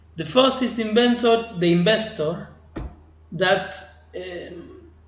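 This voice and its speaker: A man with an Argentine accent speaks at a very slow pace and a high pitch, with ordinary pitch variation and audible room echo. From Argentina. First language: Spanish. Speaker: crypto trading channel host. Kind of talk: tutorial. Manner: halting, with many fillers. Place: home room. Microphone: webcam.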